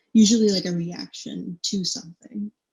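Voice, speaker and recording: Somewhat breathy female voice of medium pitch, with ordinary pitch variation. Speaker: university student presenter. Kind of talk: lecture. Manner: casual, filler-heavy.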